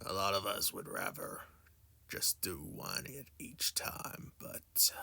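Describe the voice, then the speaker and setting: Speaking fairly slowly, a man uses a raspy, put-on character voice. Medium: actual play. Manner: curt, dismissive.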